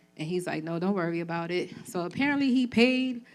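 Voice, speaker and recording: A woman is speaking. Her intonation is lively. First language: Spanish. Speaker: trafficking survivor and community organizer. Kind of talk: testimony. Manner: casual, conversational with fillers.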